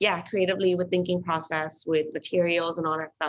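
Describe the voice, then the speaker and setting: A woman with a Thai accent speaks at a fairly low pitch. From Thailand and the UK. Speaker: artist and creative director. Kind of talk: casual interview. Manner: hesitant, many fillers.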